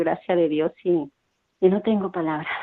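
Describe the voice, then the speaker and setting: Fairly even intonation in a woman's fairly low-pitched voice. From Mexico. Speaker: parish radio volunteer. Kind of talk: testimony.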